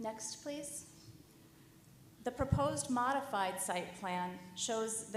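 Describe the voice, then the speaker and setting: Both audible room echo and noticeable background noise are present in this clip. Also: woman. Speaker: project architect presenting to commission. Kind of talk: formal presentation.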